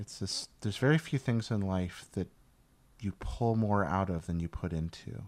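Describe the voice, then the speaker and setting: With an American accent, a man talks in a plain, everyday voice, fairly low in pitch, with lively intonation at a moderate pace, on a very clean recording with a silent background. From US Southeast. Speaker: podcast host. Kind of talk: casual interview chat.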